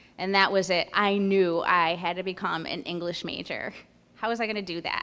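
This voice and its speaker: A woman speaks with a Spanish accent and fairly even intonation. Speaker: school principal candidate. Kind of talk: candidate presentation. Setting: school event with in-person audience and livestream.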